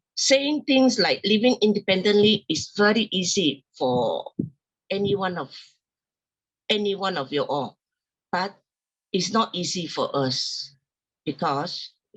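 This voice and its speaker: At a very slow pace, a woman of medium pitch speaks with very wide pitch swings. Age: 60s. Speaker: person with spinal cord injury sharing experience. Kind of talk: testimony. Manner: halting, with many fillers.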